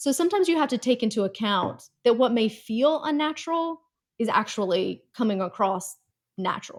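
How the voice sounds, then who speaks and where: A woman with an American accent speaks at a fairly high pitch. Her pitch swings very widely on a very clean recording with a silent background. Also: moderate pace. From North Carolina. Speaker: communications executive, former news reporter. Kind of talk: interview. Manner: conversational.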